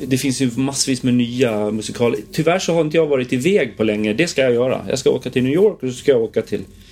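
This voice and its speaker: Over noticeable background noise, a man speaks at a very fast pace with hardly any pauses. His pitch is medium. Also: ordinary pitch variation. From Gotland, Visby. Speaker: musical theatre performer. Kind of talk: casual interview chat.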